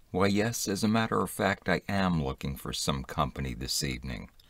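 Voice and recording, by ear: A man's voice with vocal fry, very wide pitch swings and a moderate pace.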